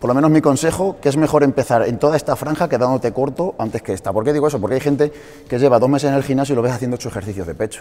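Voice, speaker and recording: Very fast speech from a man, pitch varying in an ordinary way. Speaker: fitness coach. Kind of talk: lecture to a small audience. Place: gym.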